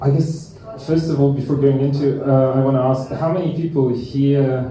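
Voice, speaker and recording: A man with a Lithuanian accent is heard with audible room echo and noticeable background noise. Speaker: musician. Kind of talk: lecture. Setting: stage with audience. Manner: halting.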